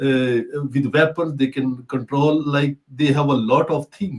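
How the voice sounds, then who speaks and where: A man with a Pakistani accent, fairly high pitch, fairly even intonation and a fairly slow pace. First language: Urdu. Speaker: talk show host. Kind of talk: casual discussion. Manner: halting.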